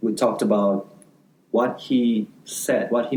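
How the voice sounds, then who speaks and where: Lively intonation carries a man's medium-pitched voice, dark and mellow in tone, at a fairly slow pace. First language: not English. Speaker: law student podcast co-host. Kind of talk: casual chat.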